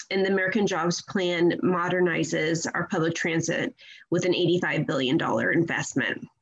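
This woman has an ordinary speaking voice with ordinary pitch variation. She keeps a moderate pace at a very even loudness. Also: fairly low pitch for a woman. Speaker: advocacy group director. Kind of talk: radio interview.

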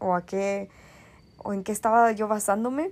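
Speech comes at a fairly slow pace on a very clean recording with a silent background. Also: woman. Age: 20s. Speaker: podcast host. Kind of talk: solo monologue podcast.

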